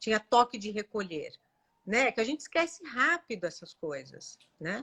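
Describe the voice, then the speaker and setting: A woman's fairly high, bright, sharp voice with very wide pitch swings at a moderate pace, dry and close with no echo. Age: 60s. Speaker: doctor. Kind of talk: live stream interview.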